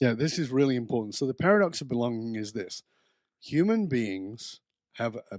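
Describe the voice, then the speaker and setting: An ordinary speaking voice from a man, medium in pitch with lively intonation at a moderate pace, on a very clean recording with a silent background and a dry, close sound with no echo. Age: 60s. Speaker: author and belonging expert. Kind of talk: podcast interview.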